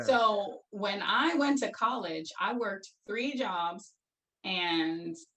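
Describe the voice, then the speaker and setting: This woman has a normal speaking voice, with medium pitch and ordinary pitch variation. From Brooklyn, New York. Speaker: former educator. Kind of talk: interview answer.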